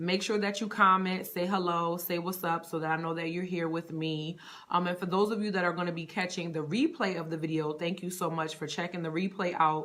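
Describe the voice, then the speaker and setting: A woman with an American accent talks at a fairly quick pace in a fairly low pitch, with monotone, flat intonation and hardly any pauses. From Connecticut, US Northeast. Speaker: personal stylist. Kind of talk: live stream chat. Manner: casual, many fillers.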